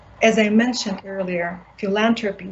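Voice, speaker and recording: A woman talks with ordinary pitch variation at a moderate pace, noticeable background noise behind her. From Siberia, Buryat community. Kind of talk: panel discussion.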